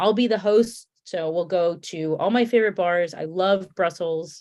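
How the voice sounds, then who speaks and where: Against a quiet background, a woman with a Connecticut accent speaks at a fairly slow pace. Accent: Connecticut accent, stretched A's. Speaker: beer tour host. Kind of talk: casual chat. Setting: live stream.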